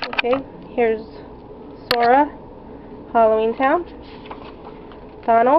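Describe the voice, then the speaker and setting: There is noticeable background noise as a woman with a high pitch talks at a moderate pace. Her pitch varies in an ordinary way, and she takes long, frequent pauses. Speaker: artist. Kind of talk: casual talk to camera.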